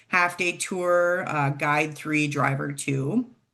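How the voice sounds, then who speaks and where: In a quiet background, a woman talks very slowly with an Upper Midwest accent. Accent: Upper Midwest American. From Minnesota. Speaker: travel program director. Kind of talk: informational presentation.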